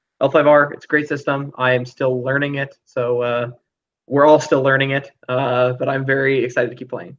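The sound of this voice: Against a quiet background, an unforced reading voice moves with fairly even intonation.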